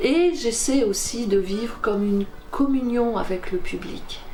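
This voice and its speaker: Woman's voice at medium pitch and a very slow pace, with ordinary pitch variation amid noticeable background noise. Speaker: storyteller. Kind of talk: interview answer about her work.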